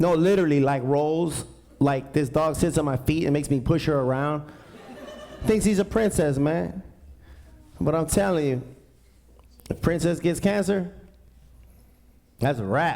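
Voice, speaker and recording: A man's fairly high voice at a moderate pace, with ordinary pitch variation, very even loudness, long, frequent pauses and audible room echo. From East Los Angeles. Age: 40s. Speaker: stand-up comedian. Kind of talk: stand-up. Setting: stage with audience. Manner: animated.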